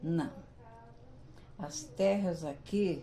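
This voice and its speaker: Audible room echo surrounds the voice. The woman speaking has ordinary pitch variation. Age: 70s. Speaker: retired teacher, local pioneer. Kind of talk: interview. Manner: hesitant, with fillers.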